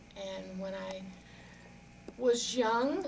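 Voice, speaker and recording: A woman speaks with an American accent. Room echo is audible, and there is noticeable background noise. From New Orleans, US South. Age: 60s. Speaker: storyteller. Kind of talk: interview.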